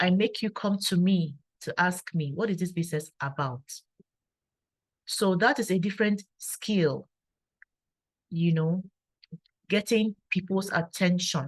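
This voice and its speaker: Quiet, somewhat breathy female voice at a medium pitch, with ordinary pitch variation, a fairly slow pace and long, frequent pauses, in a dry, close sound with no echo. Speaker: engineer and network marketer. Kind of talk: testimony. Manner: calm and quiet.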